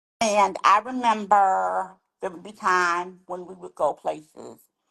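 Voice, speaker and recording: A woman with an American accent speaks with vocal fry in a dry, close sound with no echo. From Washington DC area. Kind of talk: interview conversation.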